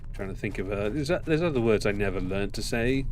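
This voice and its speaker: A man speaks with an English accent and lively intonation, with audible room echo around him. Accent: posh, elocution-trained English. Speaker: gaming streamer. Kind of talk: live gameplay commentary. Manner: halting with pauses.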